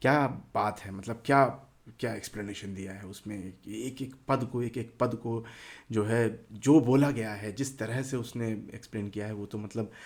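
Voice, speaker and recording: The pitch of this man's voice is medium. He keeps to a moderate pace. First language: Telugu (speaking Hindi). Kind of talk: casual talk to camera. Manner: halting, many fillers.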